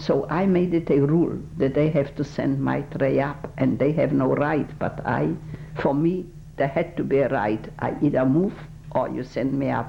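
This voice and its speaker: Over music in the background, a woman with a Polish accent speaks at a moderate pace in a very deep, low pitch, with ordinary pitch variation. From Poland. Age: 80s+. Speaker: Holocaust survivor. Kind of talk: oral history interview. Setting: recorded interview. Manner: halting.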